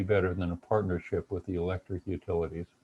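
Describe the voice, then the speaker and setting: A man speaks in a dark, mellow, somewhat breathy tone. The sound is dry and close, with no echo and a quiet background. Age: 70s. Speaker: retired engineering professor and webinar presenter. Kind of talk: webinar lecture. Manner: halting with frequent fillers and repetitions.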